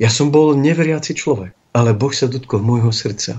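An ordinary speaking voice at a fairly slow pace, with fairly even intonation. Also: man. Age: 40s. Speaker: bishop. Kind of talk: religious talk show interview. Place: studio.

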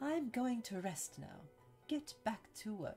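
A man's put-on character voice, extremely high-pitched, with very wide pitch swings and a fairly slow pace. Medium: game stream. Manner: arrogant, contemptuous.

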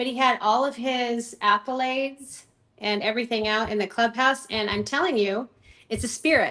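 Against a quiet background, a woman speaks at a moderate pace in a bright, sharp, animated tone. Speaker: ministry founder and author; podcast guest. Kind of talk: casual interview. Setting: remote call from home. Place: home room. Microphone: video call.

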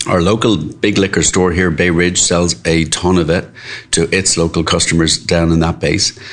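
A man with an Irish accent talks at a moderate pace in a very deep, low voice. His intonation is monotone and flat, with noticeable background noise. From Ireland, Dublin. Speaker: restaurant co-owner. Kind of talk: casual interview. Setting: restaurant.

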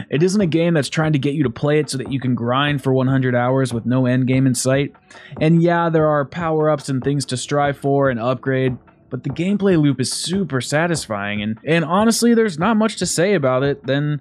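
Lively intonation marks this man's speech at a moderate pace. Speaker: gaming channel host. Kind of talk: game review commentary. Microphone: studio mic.

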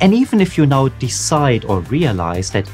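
With faint music in the background, a man keeps a moderate pace. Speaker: career coach youtuber. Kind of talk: educational talk to camera. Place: home room.

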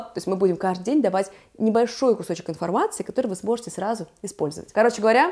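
A woman's animated voice with ordinary pitch variation, set against a quiet background. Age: 30s. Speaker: fashion stylist, video blogger; video blogger. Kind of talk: casual vlog, styling tutorial. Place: home room. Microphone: lapel.

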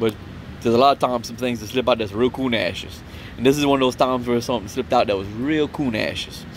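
A man's very fast speech at a medium pitch with ordinary pitch variation, dry with no echo, over light background noise. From Louisiana Cajun country, Opelousas; Louisiana. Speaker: vlogger, Marine veteran; vlogger. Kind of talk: casual storytelling monologue. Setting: outdoors at a campsite. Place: open country. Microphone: phone near.

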